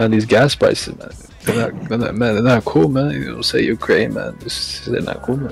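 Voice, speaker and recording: Over clear background noise, a man drawls in a put-on character voice at a moderate pace and a medium pitch. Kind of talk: comic street-talk impression. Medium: game stream. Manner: laid-back, drawling, repeats 'God' and 'you know what I'm saying'.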